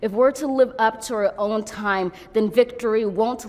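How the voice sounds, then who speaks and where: A woman with an American accent has an unremarkable speaking voice, fairly high in pitch, with fairly even intonation. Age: 20s. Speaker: poet. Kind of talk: poetry reading. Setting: outdoors.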